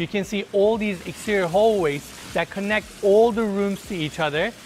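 A man talks at a moderate speed while light noise sits in the background. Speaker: real estate tour host. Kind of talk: house tour narration. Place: street.

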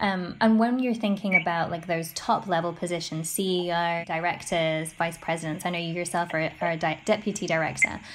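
A woman with a British accent speaks at a fairly quick pace with hardly any pauses, using a fairly low pitch and fairly even intonation. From UK. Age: young. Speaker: reporter. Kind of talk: interview.

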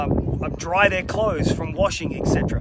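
Loud background noise runs under this recording. A man talks over it at a moderate pace. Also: dry sound with no echo. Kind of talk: appeal message to a congregation. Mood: earnest, persuasive. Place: open country. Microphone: phone near.

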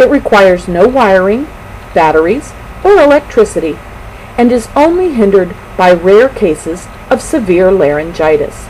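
There is noticeable background noise as a woman talks at a moderate pace in a medium pitch, her voice making very wide pitch swings. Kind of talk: mock commercial narration.

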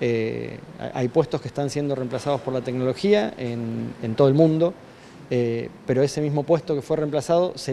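A man speaking fairly quickly with fairly even intonation over light background noise. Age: 40s. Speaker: tech industry representative. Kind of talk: news interview. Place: office. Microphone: handheld.

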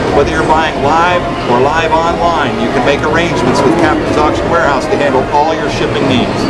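Loud background noise fills the clip. Over it, a man speaks at a fairly quick pace. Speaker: auctioneer. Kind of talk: auction promotional announcement. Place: hall.

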